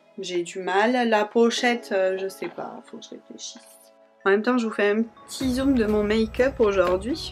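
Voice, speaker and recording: With music in the background, a woman talks at a medium pitch with ordinary pitch variation. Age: 20s. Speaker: beauty youtuber. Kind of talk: makeup tutorial. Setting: filming handheld. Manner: hesitant with many fillers.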